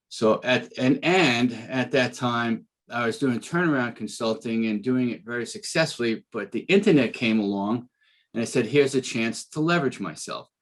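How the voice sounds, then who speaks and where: With a Bronx accent, a man speaks at a medium pitch and a moderate pace. His intonation is lively and the background is quiet. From New York City, the Bronx. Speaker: business coach and speaker, former trial attorney. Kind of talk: podcast interview.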